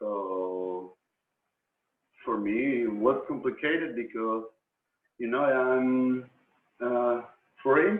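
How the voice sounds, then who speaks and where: A man with a Spanish accent speaks at medium pitch. His pace is very slow, broken by long, frequent pauses. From Argentina. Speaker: professional musician. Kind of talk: interview in second language. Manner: halting.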